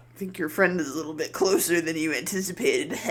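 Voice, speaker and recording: A very fast put-on character voice at a middle pitch. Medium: actual play. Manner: mocking, sly.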